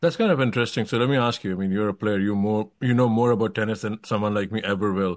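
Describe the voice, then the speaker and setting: A man with an Indian accent talks at a very fast pace in a fairly low voice, with hardly any pauses, fairly even intonation, and a quiet background. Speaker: tennis podcast host. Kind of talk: interview.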